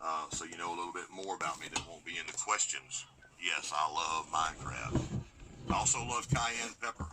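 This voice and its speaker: Over noticeable background noise, a man with a very deep, low pitch makes very wide pitch swings at a moderate pace, leaving long, frequent pauses. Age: 50s. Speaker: gardening YouTuber. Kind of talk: casual vlog talk.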